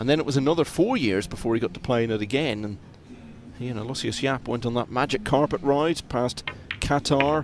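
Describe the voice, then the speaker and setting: With noticeable background noise behind him, a man speaks at a fairly quick pace with ordinary pitch variation. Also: medium pitch for a man. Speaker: pool commentator. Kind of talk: live commentary.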